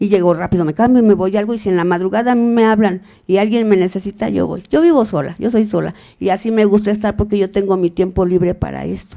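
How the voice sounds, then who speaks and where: Her tone is dark and mellow as this woman talks at a very fast pace with ordinary pitch variation. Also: medium pitch for a woman. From Mexico, Guanajuato. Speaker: mother searching for missing son. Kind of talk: testimony.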